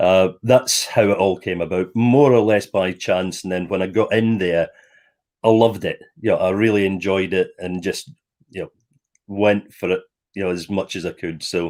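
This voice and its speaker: In a Scottish accent, a man speaks at a fairly low pitch and a moderate pace. His intonation is fairly even, and the recording is very clean with a silent background. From Scotland, Stirling. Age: 60s. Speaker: former air force officer, property developer. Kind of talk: interview. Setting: live stream.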